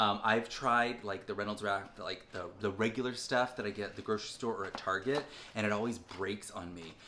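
Over light background noise, a man speaks at a fairly low pitch with fairly even intonation, in an unremarkable speaking voice. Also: fairly quick pace. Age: 40s. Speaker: family vlogger. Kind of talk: casual chat. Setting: at home. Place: kitchen. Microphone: phone near.

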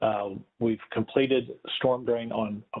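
A man speaks with ordinary pitch variation. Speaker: presenter. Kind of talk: presentation to residents. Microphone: video call.

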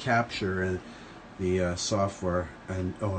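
Very deep, low male tones amid noticeable background noise. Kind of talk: casual vlog chat. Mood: pleased, lightly joking. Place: studio. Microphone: phone near.

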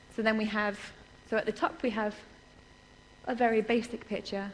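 The speaker has an English accent and a fairly quick pace. Light background noise is present. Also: woman. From England. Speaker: research computing security specialist. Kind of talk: conference lecture. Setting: stage with audience. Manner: fast talker; animated. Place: hall.

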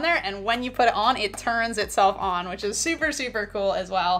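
Faint music plays in the background. A woman speaks at a fairly quick pace. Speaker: product reviewer. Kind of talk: product review tutorial. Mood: upbeat, friendly. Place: home room.

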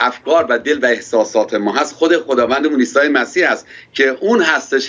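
This man's voice sits fairly high in pitch, moving at a moderate pace with ordinary pitch variation. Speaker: pastor interviewed. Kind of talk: interview. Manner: formal. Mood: warm, smiling, animated. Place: office. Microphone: audio connection dropping out; webcam.

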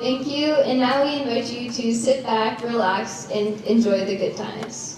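Her pace is moderate and her pitch varies in an ordinary way. The woman is heard with strong room echo and light background noise. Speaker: presenter. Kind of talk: formal announcement read from cards. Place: stage.

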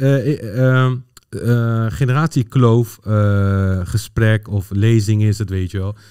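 Against a quiet background, a man speaks at a very slow pace in a dark, mellow tone, with a fairly low pitch and ordinary pitch variation. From Netherlands, Pakistani family. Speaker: football data analyst, former coach. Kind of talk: casual chat. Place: studio. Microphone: studio mic.

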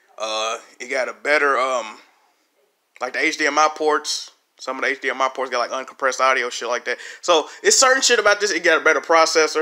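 Bright and sharp in tone, a man's fairly high voice moves at a fairly quick pace with ordinary pitch variation. The recording is very clean, with a silent background. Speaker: gaming YouTuber. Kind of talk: casual chat. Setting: home, showing TV on video. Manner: casual, slangy, rambling.

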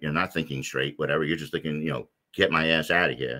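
Vocal fry marks a man's very deep, low voice. His tone is bright and sharp, and the background is quiet. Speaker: podcast guest, 9/11 survivor. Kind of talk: interview answer. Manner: frequent filler words, rambling. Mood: earnest personal storytelling.

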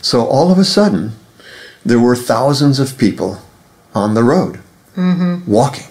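Pausing long and often, a man speaks at a moderate pace and medium pitch, somewhat breathy, his pitch swinging very widely while his loudness stays very even. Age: 70s. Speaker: author and translator. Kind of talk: interview conversation.

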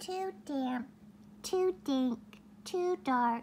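A female-sounding, put-on character voice, high in pitch, over clear background noise. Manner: complaining, fussy.

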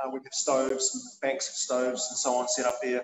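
Audible room echo and light background noise accompany a man. He speaks with a New Zealand accent and ordinary pitch variation. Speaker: chef and culinary instructor. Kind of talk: interview. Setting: in a kitchen. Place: kitchen. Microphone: video call.

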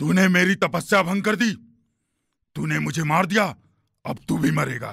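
A man's cartoonish character voice, high in pitch, at a moderate pace. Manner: wrathful, menacing.

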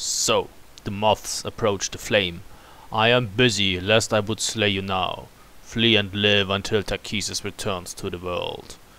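A man's put-on character voice, growling at a fairly low pitch, with a fairly slow pace and monotone, flat intonation. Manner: snarling, menacing.

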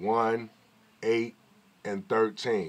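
Someone speaks with an American accent over light background noise. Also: man. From New York. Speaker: YouTuber. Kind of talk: casual vlog commentary. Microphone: phone near.

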